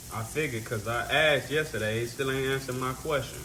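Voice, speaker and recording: In an American accent, the speaker sounds relaxed, with fairly even intonation, over noticeable background noise and audible room echo. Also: man. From Chicago, South Side. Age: 30s. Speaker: livestreamer. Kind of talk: casual chat. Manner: relaxed, conversational.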